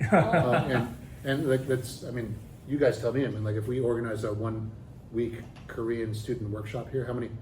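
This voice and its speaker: A man's medium-pitched voice at a fairly quick pace, fairly even in intonation, with audible room echo and noticeable background noise. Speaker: professor. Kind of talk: interview. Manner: fast; halting, many fillers and restarts.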